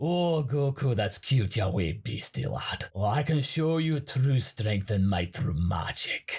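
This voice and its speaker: In a put-on character voice with a Scottish accent, a man at medium pitch talks at a fairly slow pace with hardly any pauses. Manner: condescending, boastful.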